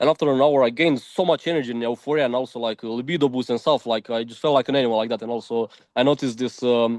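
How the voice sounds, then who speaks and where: A man with a Romanian accent talks very fast with hardly any pauses, at medium pitch and with fairly even intonation. The sound is dry and close, with no echo. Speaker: diet content creator. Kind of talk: interview. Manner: casual, filler-heavy.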